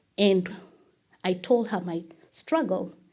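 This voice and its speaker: A woman with a Kenyan accent sounds somewhat breathy, with ordinary pitch variation, on a very clean recording with a silent background. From Kenya, Nairobi. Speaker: church member. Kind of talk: testimony.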